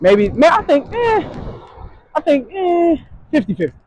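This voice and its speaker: The man's voice has ordinary pitch variation and a dry, close sound with no echo. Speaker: vlogger. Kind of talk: casual vlog monologue. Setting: outdoors, walking to store. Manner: careful, proper enunciation; halting, stumbling on words.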